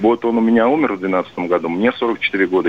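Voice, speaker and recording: A man talks at a mid-level pitch. Clear background noise can be heard behind him. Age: 40s. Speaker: long-haul truck driver. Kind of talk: call-in chat.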